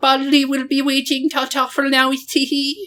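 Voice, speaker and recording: A put-on character voice that sounds female runs high in pitch for a woman, with monotone, flat intonation at a moderate pace. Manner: sweet, cackling, teasing.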